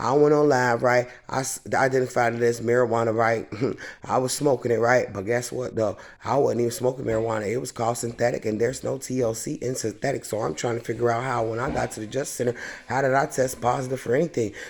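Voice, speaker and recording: The speaker has an animated tone and a very fast pace. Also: man, medium pitch for a man. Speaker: vlogger. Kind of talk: casual vlog monologue.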